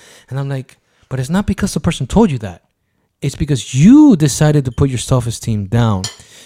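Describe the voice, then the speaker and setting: A man with a dark, mellow, somewhat breathy voice speaks at a fairly high pitch with lively intonation and a fairly quick pace. The recording is very clean, with a silent background. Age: 40s. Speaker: podcast host. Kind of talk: casual chat.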